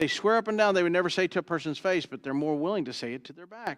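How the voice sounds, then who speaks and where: Very wide pitch swings mark this man's high voice at a fairly quick pace. The recording is very clean, with a silent background. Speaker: pastor. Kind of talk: sermon. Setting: church. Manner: loud.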